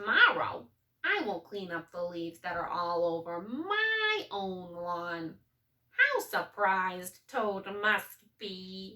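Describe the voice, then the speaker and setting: A woman puts on a character voice at medium pitch. She speaks at a very slow pace. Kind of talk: bedtime story. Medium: read story.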